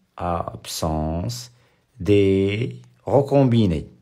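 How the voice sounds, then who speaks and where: Audible room echo surrounds a man whose fairly low voice has lively intonation. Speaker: high school biology teacher. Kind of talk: lecture. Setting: live stream. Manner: repetitive.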